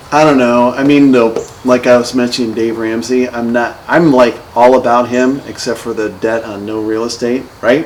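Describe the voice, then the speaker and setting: Over noticeable background noise, a man with an American accent speaks at a medium pitch in a monotone, flat intonation. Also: moderate pace. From northern Ohio, US. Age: 50s. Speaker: real estate investor. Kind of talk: casual chat. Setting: podcast recording over beers. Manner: halting.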